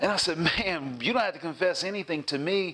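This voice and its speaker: High in pitch, a man with a Southern US accent speaks with ordinary pitch variation. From US South, South Carolina. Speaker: pastor. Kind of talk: sermon. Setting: church. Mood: warm, cheerful, animated. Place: home room. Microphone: lapel.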